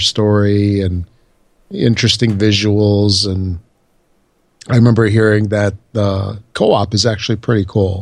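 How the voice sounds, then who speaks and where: At a fairly slow pace, a man with an American accent talks in a fairly low pitch. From Chicago, US Midwest. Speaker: podcast co-host. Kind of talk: casual chat.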